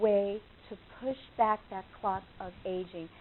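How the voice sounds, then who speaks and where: A woman with a New York accent. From New York, Long Island. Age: 70s. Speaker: nutritional consultant. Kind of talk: lecture.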